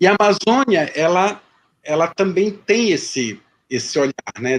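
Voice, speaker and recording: A high-pitched man's voice with very wide pitch swings at a fairly slow pace. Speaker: history professor. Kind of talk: lecture Q&A. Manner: hesitant, many repetitions.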